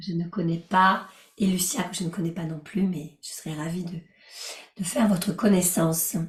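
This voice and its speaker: Calm and gentle in tone, a woman speaks at a moderate pace with fairly even intonation. Her fairly low voice is somewhat breathy. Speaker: life coach and yoga teacher. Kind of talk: guided relaxation session with group discussion. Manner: gentle, calm.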